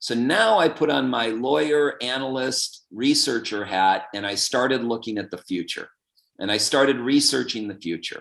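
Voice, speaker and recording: Speaking at a moderate pace, a man uses a medium pitch and lively intonation. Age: 60s. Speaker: author and lawyer. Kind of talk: interview. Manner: animated.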